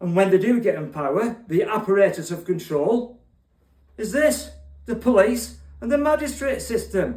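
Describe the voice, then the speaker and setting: A high-pitched man talks in a Cockney accent at a moderate pace. His intonation is lively, and there is audible room echo. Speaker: online poet and political commentator. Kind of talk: political monologue with spoken poetry.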